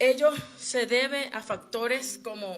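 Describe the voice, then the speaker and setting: Her intonation fairly even, a woman speaks with a La Guajira accent. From Colombia, Wayuu people (La Guajira). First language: Wayuunaiki (speaking Spanish). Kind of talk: formal testimony at a human rights hearing. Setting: commission hearing. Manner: formal, with frequent hesitations.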